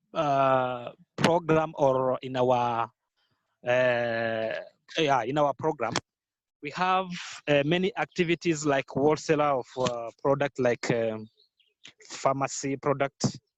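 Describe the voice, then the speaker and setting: With long, frequent pauses and a very slow pace, a man speaks at a fairly high pitch with ordinary pitch variation in a dry, close sound with no echo. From Rwanda. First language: Kinyarwanda. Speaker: entrepreneur and youth organization founder. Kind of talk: podcast interview. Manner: halting, many fillers.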